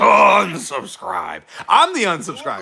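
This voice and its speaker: Someone puts on a raspy character voice and speaks at a fairly slow pace. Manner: growling, menacing.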